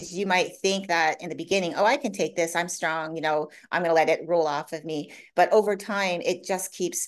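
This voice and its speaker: Over a quiet background, a woman with a normal speaking voice talks fairly quickly in a fairly low pitch with fairly even intonation. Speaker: coach. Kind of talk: interview.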